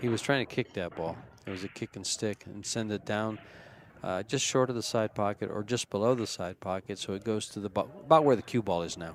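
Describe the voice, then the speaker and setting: He has a plain, everyday voice, fairly low in pitch with ordinary variation. The man moves at a fairly quick pace, and the sound is dry and close with no echo. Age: 60s. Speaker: pool commentator. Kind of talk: live commentary.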